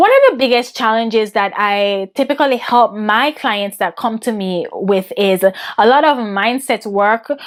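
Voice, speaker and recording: A woman with a Jamaican accent at a fairly slow pace, with hardly any pauses. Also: fairly high pitch for a woman, ordinary pitch variation. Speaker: women's business and mindset coach. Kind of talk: interview answers.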